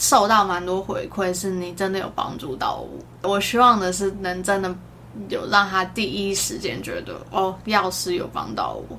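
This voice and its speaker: Here a woman talks at a fairly slow pace. Room echo is audible. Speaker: pharmacist. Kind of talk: casual chat.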